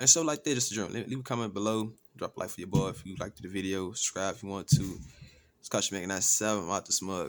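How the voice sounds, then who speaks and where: A very clean recording against a silent background, with pitch that varies in an ordinary way. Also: man. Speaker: gaming YouTuber. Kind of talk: unboxing review vlog. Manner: quiet, not loud; casual slangy. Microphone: new USB microphone being tested.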